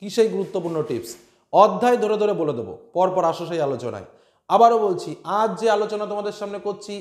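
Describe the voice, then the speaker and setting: High-pitched male speech with lively intonation, audible room echo, and a quiet background. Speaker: teacher. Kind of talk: tutorial. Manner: calm, not loud. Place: home room. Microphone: lapel.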